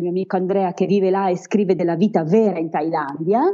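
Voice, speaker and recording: At a fairly quick pace, a woman speaks in a normal speaking voice, medium in pitch with ordinary variation. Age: 40s. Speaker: travel blogger and former teacher. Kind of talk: interview.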